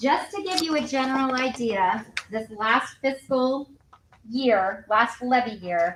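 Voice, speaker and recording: Here a woman speaks at a high pitch and a very slow pace. Noticeable background noise runs behind her. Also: lively intonation. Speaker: county finance official. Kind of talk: public meeting report.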